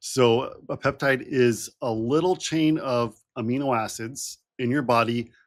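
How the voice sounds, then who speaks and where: Fairly even intonation marks a man's medium-pitched, plain, everyday voice. The recording is very clean, with a silent background. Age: 40s. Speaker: health doctor and co-host. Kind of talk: casual explanation.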